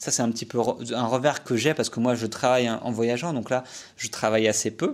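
A man talks at a moderate pace, his medium pitch showing ordinary pitch variation, on a very clean recording with a silent background. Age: 30s. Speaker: podcast host, cycle traveller. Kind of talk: solo podcast monologue. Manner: casual, many hesitations.

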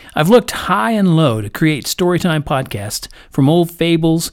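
A man's fairly high, unremarkable speaking voice with lively intonation at a moderate pace. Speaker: podcast storyteller. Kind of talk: bedtime story telling, reading a fairy tale aloud to children. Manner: gentle, warm, measured storyteller pacing; friendly, welcoming family-oriented intro.

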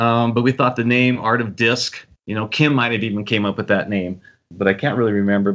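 An ordinary speaking voice, a man at a fairly quick pace with ordinary pitch variation. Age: 60s. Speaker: freestyle frisbee player. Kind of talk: interview.

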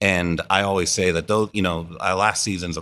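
Here a man talks at a fairly quick pace with an American accent. His pitch is very deep and low. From Pittsburgh, Pennsylvania (US). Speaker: theater artistic director. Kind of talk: casual interview.

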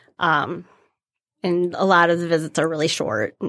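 A woman speaks at a moderate pace in a fairly low pitch, in a very clean recording with a silent background. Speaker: cosplayer. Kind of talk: casual chat. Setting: studio.

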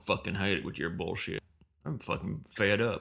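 A man puts on a raspy character voice with a Southern US accent. His pitch is fairly low and his pace moderate. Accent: American southern. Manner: creepy, angry.

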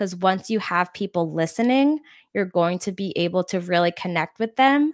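A woman with a normal speaking voice talks at a moderate pace in a medium pitch, captured in a very clean recording with a silent background and a dry, close sound with no echo. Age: 20s. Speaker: podcast producer and marketing agency founder. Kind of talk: casual interview.

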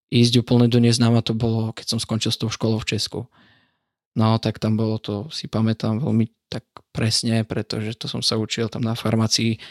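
The sound is dry and close, with no echo. A man talks at a moderate pace and medium pitch. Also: very clean recording, silent background. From eastern Slovakia, Sabinov district. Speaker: religion teacher. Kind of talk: casual interview.

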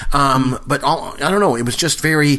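A man speaks over noticeable background noise. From Canada. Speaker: podcast host. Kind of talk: casual chat.

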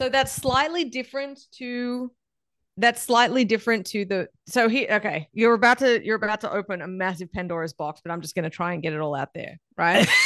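Speaking with an American accent, a woman uses a fairly high voice and lively intonation at a fairly quick pace, recorded dry and close with no echo against a quiet background. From Australia. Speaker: barbecue expert and meat scientist. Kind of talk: casual interview chat.

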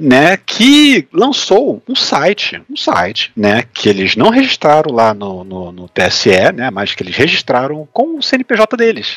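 A man's very slow speech in a Brazilian accent, with big swings in loudness and a dry, close sound with no echo. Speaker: political podcast co-host. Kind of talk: casual political chat. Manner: halting, with many repeated words and fillers.

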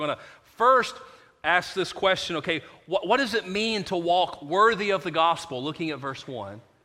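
A man's high-pitched voice, bright and sharp, with lively intonation. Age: 40s. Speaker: pastor. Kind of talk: sermon. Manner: repetitive false starts.

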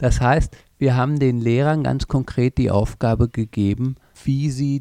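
A man speaks at a medium pitch and fairly slow pace, with a dark, mellow tone. The sound is dry and close, with no echo. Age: 50s. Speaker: language school teacher trainer. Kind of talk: interview. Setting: language school in Copenhagen.

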